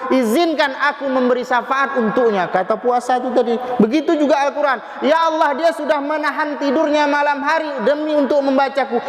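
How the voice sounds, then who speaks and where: A man with a Medan accent, extremely high pitch and an animated tone, going at a fairly quick pace with hardly any pauses amid noticeable background noise. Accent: Medan accent, loud voice. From Medan, North Sumatra. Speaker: preacher. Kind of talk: sermon.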